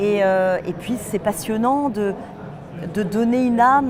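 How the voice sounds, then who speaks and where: A woman's fairly high voice with ordinary pitch variation, noticeable background noise and audible room echo. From western France, Nantes. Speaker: voice actress. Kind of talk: interview. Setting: film festival.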